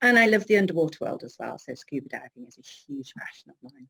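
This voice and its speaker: Speaking with a northern English accent, a woman uses a medium pitch at a moderate pace. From northern England, Cheshire. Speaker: business coach. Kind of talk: interview.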